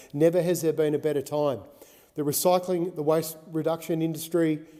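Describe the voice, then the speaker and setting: With fairly even intonation, a man speaks in an Australian accent. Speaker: senator. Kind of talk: parliamentary speech.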